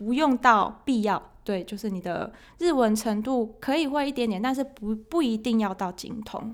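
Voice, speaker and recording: A woman's fairly high voice with a Taiwanese accent, ordinary pitch variation and a moderate pace, in a very clean recording with a silent background. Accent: Taiwanese Mandarin. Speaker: accounting and finance office worker. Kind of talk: casual interview chat.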